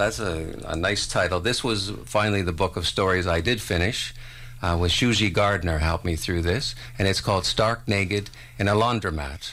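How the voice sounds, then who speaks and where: Bright, sharp tone in a Canadian accent, with ordinary pitch variation, very even loudness and a moderate pace. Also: man, fairly low pitch for a man. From Ontario, Canada (Port Dalhousie). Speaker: poet. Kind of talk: poetry reading. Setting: radio studio.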